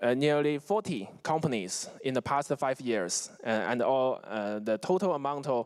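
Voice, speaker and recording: In a Chinese accent, the speaker moves at a moderate pace with lively intonation and hardly any pauses. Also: man, medium pitch for a man. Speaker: investment fund executive. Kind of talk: conference presentation. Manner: halting, many fillers and restarts.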